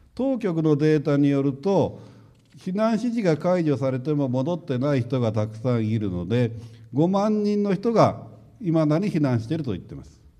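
This man's voice sits fairly high for a man, with a dark, mellow tone and very wide pitch swings. He talks at a moderate pace, his loudness swings a lot, and room echo can be heard. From Japan, Hiroshima. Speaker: nuclear engineering professor. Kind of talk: lecture.

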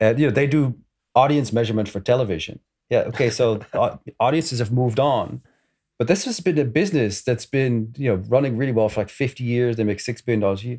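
A man with a Dutch accent talks very fast at a medium pitch, his dark, mellow tone moving with ordinary pitch variation over a very clean recording with a silent background. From Netherlands. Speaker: games industry analyst and author. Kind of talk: panel discussion.

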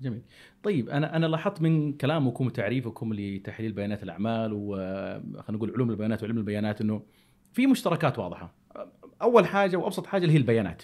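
A man speaks at a medium pitch and a fairly quick pace. His pitch swings very widely. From Saudi Arabia. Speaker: podcast host. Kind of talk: casual chat.

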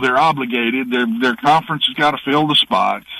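A man speaks in a fairly high voice. It is an unremarkable speaking voice. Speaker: former college football coach, analyst. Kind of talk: sports talk interview. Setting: video call.

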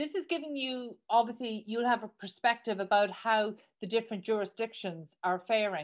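A woman with an Irish accent, fairly high-pitched, at a moderate pace against a quiet background. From Ireland. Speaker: podcast host. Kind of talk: interview. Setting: studio.

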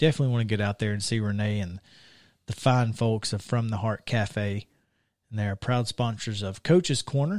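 A man speaks with a Southern US accent in a fairly low voice. The recording is very clean and dry, with a silent background and a close sound without echo. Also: ordinary pitch variation, moderate pace. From Alabama. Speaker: sports radio host. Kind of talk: casual chat. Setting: studio.

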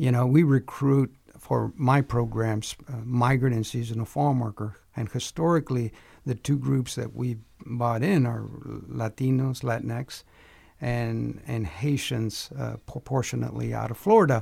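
At a fairly slow pace, a man speaks in a dark, mellow tone, somewhat breathy and medium in pitch, with ordinary pitch variation. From Texas. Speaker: university program director. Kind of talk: panel discussion.

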